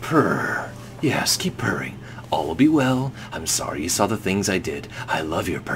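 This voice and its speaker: A man's put-on character voice, fairly low in pitch, at a moderate pace over loud background noise. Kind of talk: medieval storybook. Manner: soothing, purring to a cat.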